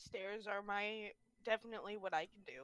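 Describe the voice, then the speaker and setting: A female-sounding, put-on character voice comes through at a medium pitch and a moderate pace. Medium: actual play. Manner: broken grammar, speaks of himself in third person.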